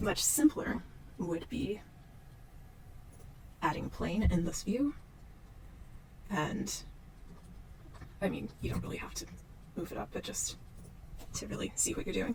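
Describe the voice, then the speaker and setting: Through noticeable background noise, a woman talks at a fairly slow pace with long, frequent pauses. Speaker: 3D modeling tutor. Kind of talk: unscripted software tutorial narration. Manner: slow, casual.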